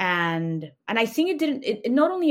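A woman speaks with a Spanish accent. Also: very clean recording, silent background. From Mexico City, Mexico. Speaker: snack company founder. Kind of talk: interview.

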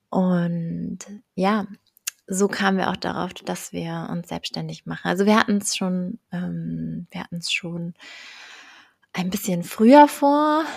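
A woman speaks at a very slow pace, with long, frequent pauses and big swings in loudness. The sound is dry and close, with no echo. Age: 20s. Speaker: entrepreneur and mentor for mothers. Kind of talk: casual interview chat.

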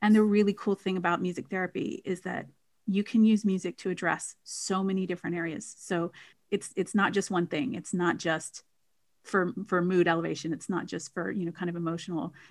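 With an American accent, a woman in an unremarkable speaking voice talks fairly quickly at medium pitch, her intonation fairly even. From United States. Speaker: music therapist and singer. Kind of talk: casual interview chat. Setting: online call.

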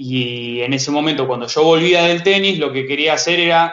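A man with a Rioplatense accent and ordinary pitch variation. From Buenos Aires, Argentina. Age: 20s. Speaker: tennis coach. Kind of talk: interview.

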